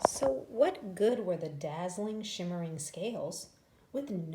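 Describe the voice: Lively intonation colors this plain reading aloud.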